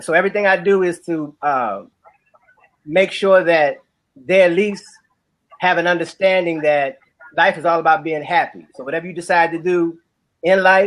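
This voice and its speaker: With a New Orleans accent, a man talks in a high voice at a moderate pace. His intonation stays fairly even, broken by long, frequent pauses. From New Orleans, Louisiana. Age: 40s. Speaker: musician and author. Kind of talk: casual chat.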